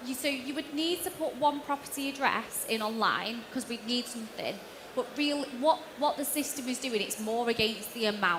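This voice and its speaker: Pitch variation in this voice is ordinary. Background noise is noticeable. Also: woman, high pitch for a woman. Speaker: auction finance lender. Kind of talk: panel Q&A. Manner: fast.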